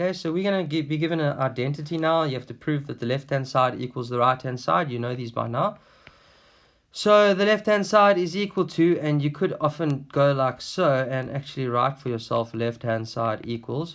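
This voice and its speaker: An unremarkable speaking voice from a man, fairly high in pitch, with lively intonation at a moderate pace, on a very clean recording with a silent background. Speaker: maths teacher. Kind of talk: tutorial. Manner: casual, conversational.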